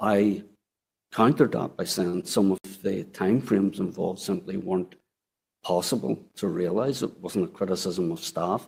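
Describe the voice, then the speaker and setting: This man has a fairly low voice and speaks with an Irish accent. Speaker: former council chief executive, inquiry witness. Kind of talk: inquiry testimony. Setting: public inquiry hearing room.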